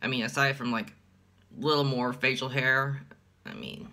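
A man speaks in a deadpan tone at a fairly slow pace, his voice bright and sharp. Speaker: let's player. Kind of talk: casual talk to camera. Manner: deadpan, monotone. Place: home room. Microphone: phone near.

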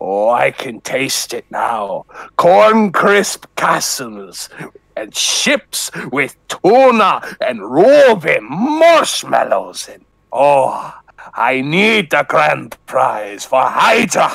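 Putting on a character voice, a man speaks at a very slow pace with a high pitch. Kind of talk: comic impression. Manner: menacing, grandiose.

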